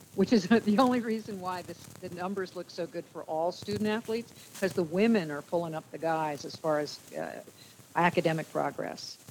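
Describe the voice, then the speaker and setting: A woman with an ordinary speaking voice talks at a fairly quick pace in an American accent, at a fairly low pitch with ordinary pitch variation. Her loudness swings a lot. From New Jersey. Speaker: former sportscaster and sports official. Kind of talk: casual interview.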